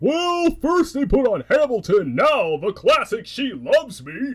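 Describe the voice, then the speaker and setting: Using a cartoonish character voice, a man talks fairly slowly at an extremely high pitch. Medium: puppet show. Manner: sarcastic, dry.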